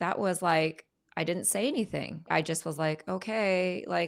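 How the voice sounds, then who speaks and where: A woman at a fairly slow pace on a very clean recording with a silent background. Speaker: image and identity strategist. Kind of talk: interview testimony. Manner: direct.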